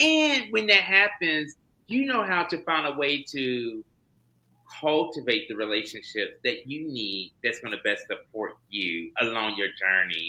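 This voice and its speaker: A man with a slight Southern US accent, a bright, sharp tone and very wide pitch swings. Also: fairly high pitch for a man. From US South (North Carolina, Florida, Kentucky). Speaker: HIV prevention trainer, doctor. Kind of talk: interview. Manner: fast.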